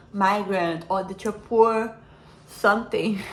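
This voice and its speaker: This woman's voice is somewhat breathy, with a non-native accent. Room echo can be heard around her. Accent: foreign accent, self-described as imperfect. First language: not English. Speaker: self-help vlogger. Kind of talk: personal reflection monologue. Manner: halting, many fillers and repeats.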